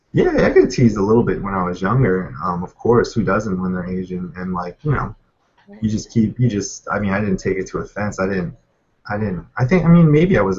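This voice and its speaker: An unremarkable speaking voice at a fairly quick pace, with ordinary pitch variation. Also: man. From Pennsylvania, US. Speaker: guest interviewee. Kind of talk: casual chat. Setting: video call. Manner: casual, many fillers.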